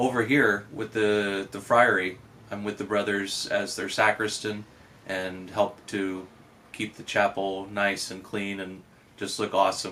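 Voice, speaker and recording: Bright and sharp in tone, a man talks at a fairly slow pace with a fairly low pitch, flat monotone intonation and big swings in loudness. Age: young. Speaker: Franciscan friar. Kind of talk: testimony.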